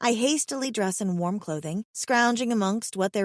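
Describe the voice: Simple, plain reading aloud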